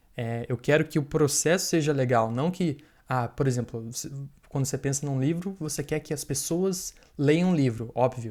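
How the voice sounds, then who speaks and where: A man speaks in a plain, everyday voice at a moderate pace, his pitch fairly high for a man with ordinary variation. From Brazil. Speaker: software developer and author. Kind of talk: podcast interview. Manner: casual, filler-heavy.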